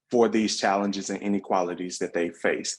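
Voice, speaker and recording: A man with a Southern US accent talks fairly quickly at a fairly low pitch, his intonation fairly even. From US South. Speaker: workshop facilitator / researcher. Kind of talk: online workshop presentation. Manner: fast; hesitant fillers.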